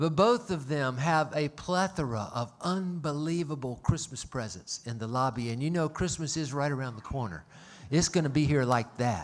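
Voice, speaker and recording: A man's fairly high-pitched voice with a Southern US accent, moderate pace, and lively intonation, on a very clean recording with a silent background. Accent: Southern US (Georgia). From US South, Atlanta, Georgia. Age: 60s. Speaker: concert venue owner and emcee. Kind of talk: stage announcements to live audience. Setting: stage with audience, livestreamed. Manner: folksy, jokey, conversational.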